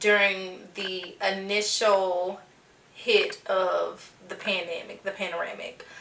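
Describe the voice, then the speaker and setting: There is noticeable background noise. Over it, a woman speaks at a very slow pace. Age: 20s. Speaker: podcast host. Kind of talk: casual podcast talk.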